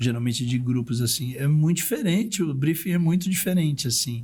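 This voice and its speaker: Lively intonation marks this man's speech. His voice is somewhat breathy. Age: 60s. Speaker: art director and luxury event producer. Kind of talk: podcast interview.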